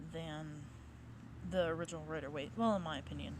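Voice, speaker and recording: A woman's fairly low voice is heard with audible room echo. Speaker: tarot deck reviewer. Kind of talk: casual product review. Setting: outdoors in a cemetery. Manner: halting, some stuttering.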